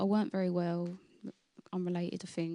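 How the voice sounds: A woman at a medium pitch with a slightly mellow tone and a dry, close sound with no echo.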